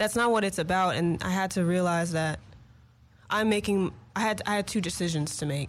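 At a fairly quick pace, a woman with an unremarkable speaking voice talks at a medium pitch with ordinary pitch variation and very even loudness. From Los Angeles, US. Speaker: singer-songwriter. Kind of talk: casual interview. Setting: studio.

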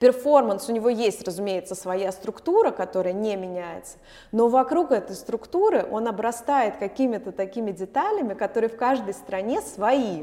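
In an unremarkable speaking voice, a woman speaks at a moderate pace with fairly high pitch, lively intonation and big swings in loudness. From Moscow, Russia. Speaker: opera singer and actress. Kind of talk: casual interview.

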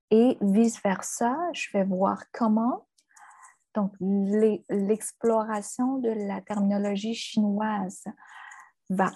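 Speaking at a very slow pace, a woman with a dark, mellow tone sounds somewhat breathy, her intonation fairly even. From China. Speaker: translator and university lecturer. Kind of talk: interview.

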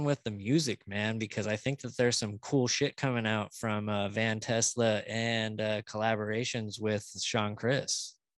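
Speaking fairly slowly at a medium pitch, a man has an unremarkable speaking voice, recorded with a dry, close sound with no echo against a quiet background. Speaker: podcast host. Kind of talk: casual chat.

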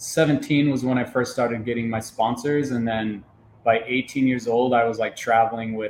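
Keeping a moderate pace, a man speaks at a fairly low pitch with little pitch movement.

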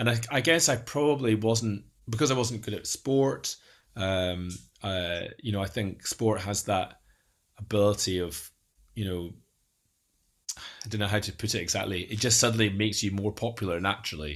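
In an Edinburgh accent, a man with a fairly low pitch speaks at a moderate pace with ordinary pitch variation, in a very clean recording with a silent background. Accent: Scottish (Edinburgh). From Scotland, Edinburgh. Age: 40s. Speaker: data modeler and neurodiversity advocate. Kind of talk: interview, personal life story. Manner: halting, many fillers and repetitions.

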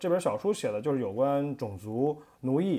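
Lively intonation and a dark, mellow tone come through in a very clean recording with a silent background. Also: man. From China. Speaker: podcast co-host. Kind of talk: casual chat.

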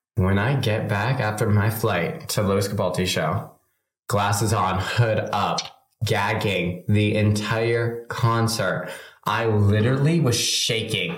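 A man's fairly low, somewhat breathy voice at a very slow pace, with ordinary pitch variation and very even loudness. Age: 20s. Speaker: podcast co-host. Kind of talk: casual chat. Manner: animated.

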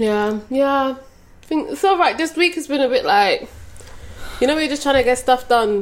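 A high-pitched woman at a moderate pace, with lively intonation and long, frequent pauses. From England (London, then Birmingham). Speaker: podcast co-host. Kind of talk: casual chat. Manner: animated.

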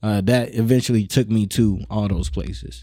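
Here a man talks with an American accent at a fairly low pitch. His pitch swings very widely. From North Omaha, Nebraska, US Midwest. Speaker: rapper, producer and radio personality. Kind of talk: casual interview.

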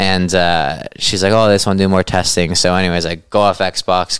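With a western Canadian accent, a man speaks at a very deep, low pitch and monotone, flat intonation. The sound is dry and close with no echo. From western Canada. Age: 20s. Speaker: ultra runner and cancer survivor. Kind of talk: casual chat. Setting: at his home.

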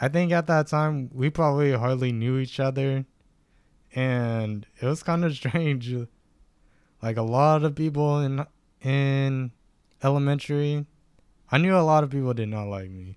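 With an American accent, a man talks at a fairly slow pace and a fairly high pitch, using ordinary pitch variation and long, frequent pauses. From Stockton, California. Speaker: photographer and real estate student. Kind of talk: casual chat.

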